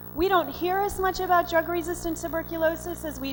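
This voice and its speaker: With an American accent, a woman talks over background music. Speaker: physician and conference speaker. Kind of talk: lecture. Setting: stage with audience. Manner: fast.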